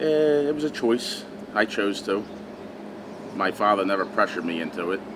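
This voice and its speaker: A man with a Philadelphia accent and a fairly low pitch talks at a moderate pace with lively intonation over noticeable background noise. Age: 30s. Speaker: butcher. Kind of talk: interview. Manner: terse.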